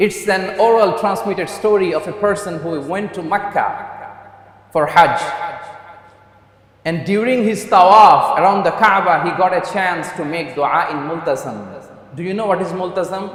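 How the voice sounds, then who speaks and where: A man with a high pitch and ordinary pitch variation speaks at a moderate pace with long, frequent pauses, amid noticeable background noise. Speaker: Islamic preacher. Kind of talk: Friday sermon (khutbah) in English, Islamic lecture. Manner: earnest, preaching, direct address to audience.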